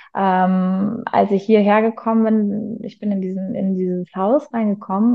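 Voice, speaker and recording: A woman's medium-pitched voice, with ordinary pitch variation, moves along at a moderate tempo. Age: 30s. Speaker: teacher and coach. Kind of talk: interview. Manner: hesitant, many fillers.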